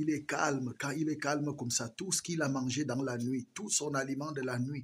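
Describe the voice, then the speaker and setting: A man speaks at a medium pitch and a moderate pace, his voice somewhat breathy. His intonation stays fairly even. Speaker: rabbit farmer. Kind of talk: farm tour vlog. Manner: soft-spoken.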